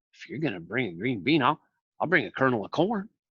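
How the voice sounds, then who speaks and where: A man does a put-on character voice at a very fast pace. His medium pitch makes very wide swings. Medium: read story.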